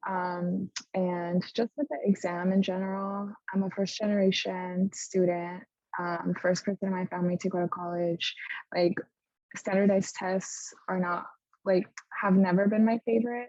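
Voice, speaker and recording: A woman speaks at a moderate pace with a medium pitch and fairly even intonation. The sound is dry and close, with no echo. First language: Spanish. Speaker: medical student. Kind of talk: panel discussion.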